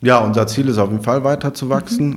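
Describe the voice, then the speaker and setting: A man's fairly quick speech, with ordinary pitch variation, comes in an unremarkable speaking voice. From Rhineland, Germany (Overath near Cologne). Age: 30s. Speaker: startup managing director and marketing head. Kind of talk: interview.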